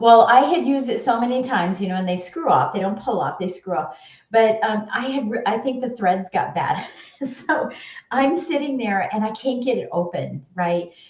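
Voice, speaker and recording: Noticeable background noise and audible room echo surround a woman's fairly high voice. Her tone is animated and her intonation lively. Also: moderate pace. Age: 60s. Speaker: business leader and former mortgage professional. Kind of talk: interview storytelling.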